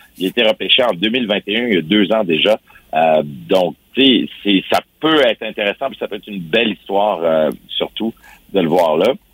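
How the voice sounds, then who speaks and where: Using an unremarkable speaking voice, a man talks at a fairly low pitch and a moderate pace with lively intonation. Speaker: sports columnist. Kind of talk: radio sports segment.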